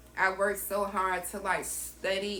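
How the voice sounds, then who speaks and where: A woman with a Southern US accent speaks very slowly at a medium pitch, with audible room echo. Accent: Southern US country. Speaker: entrepreneur and vlogger. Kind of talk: personal storytelling vlog. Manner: casual, conversational with fillers.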